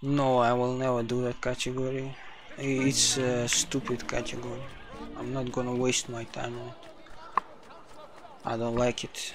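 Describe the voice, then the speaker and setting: A man with a non-native accent speaks at medium pitch and a moderate pace, using monotone, flat intonation. Long, frequent pauses break his speech amid noticeable background noise. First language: not English. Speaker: speedrunner streamer. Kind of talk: casual live stream commentary while gaming.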